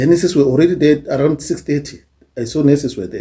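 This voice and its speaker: A man with a fairly high pitch speaks in a dark, mellow, somewhat breathy tone with ordinary pitch variation. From South Africa. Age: old. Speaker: YouTuber, social commentator. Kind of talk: casual monologue. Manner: halting.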